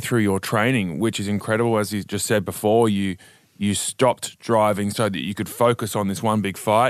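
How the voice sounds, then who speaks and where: With an Australian accent and a fairly low pitch, a man talks at a moderate pace against a quiet background. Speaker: podcast host. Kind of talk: casual news chat.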